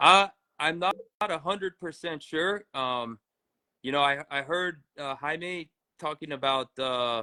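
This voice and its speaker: A man with an American accent and a plain, everyday voice talks at a fairly slow pace, his pitch fairly high with ordinary pitch variation. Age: 30s. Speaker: professional cyclist. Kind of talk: interview.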